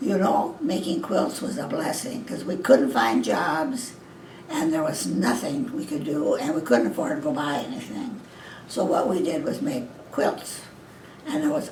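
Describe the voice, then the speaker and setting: Over noticeable background noise, a woman with an American accent speaks at a moderate pace, her pitch swinging very widely. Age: 80s+. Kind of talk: interview answer.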